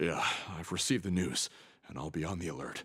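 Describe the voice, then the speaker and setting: A raspy put-on character voice rattles along at a very fast pace. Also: man, very deep, low pitch for a man. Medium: video game. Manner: hesitant.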